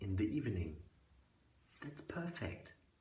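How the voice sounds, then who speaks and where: A man's somewhat breathy voice swings very widely in pitch. Audible room echo hangs around it. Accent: German. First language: German. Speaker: fitness coach. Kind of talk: sales pitch.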